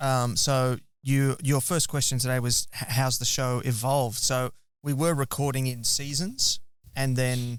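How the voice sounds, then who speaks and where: A man speaks at medium pitch with an Australian accent. The recording is very clean, with a silent background. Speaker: podcast host. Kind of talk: interview. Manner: animated.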